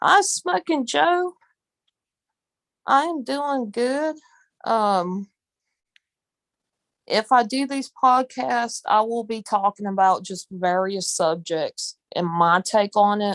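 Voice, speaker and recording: Very slowly and with long, frequent pauses, a woman talks at a fairly high pitch with very wide pitch swings, in a dry, close sound with no echo and a quiet background. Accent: Southern. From US South. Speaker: live streamer. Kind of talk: casual chat. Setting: live stream, audio only.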